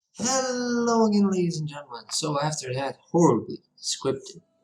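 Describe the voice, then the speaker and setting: Speech moves at a moderate pace while music plays in the background. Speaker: architecture software tutor. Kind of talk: tutorial voiceover.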